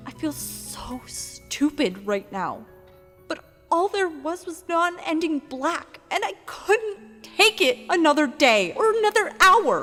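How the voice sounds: A woman uses a put-on character voice at an extremely high pitch, with a bright, sharp tone and big pitch swings. She goes at a slow pace while faint music plays in the background.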